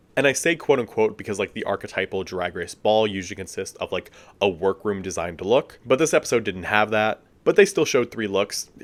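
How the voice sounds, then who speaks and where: Animated man with an American accent, fairly low-pitched, lively intonation and a fairly quick pace, on a very clean recording with a silent background. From United States. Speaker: drag race commentary youtuber. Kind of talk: video essay commentary.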